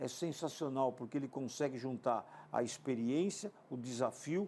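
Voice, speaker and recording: A man with a plain, everyday voice talks at a moderate pace and medium pitch. The recording is very clean, with a silent background. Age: 60s. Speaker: TV sports business show host. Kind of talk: TV interview.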